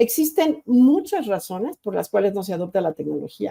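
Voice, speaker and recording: The recording is dry and close, without any echo. A woman talks at a moderate tempo. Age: 60s. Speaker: university rector and educator. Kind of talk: lecture. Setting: virtual conference. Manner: halting, frequent repetitions and self-corrections.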